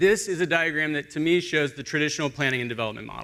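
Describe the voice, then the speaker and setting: A man talks at a very fast pace and medium pitch with a bright, sharp tone. The recording is very clean with a silent background. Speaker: urban planning consultant, panelist. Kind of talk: conference panel presentation.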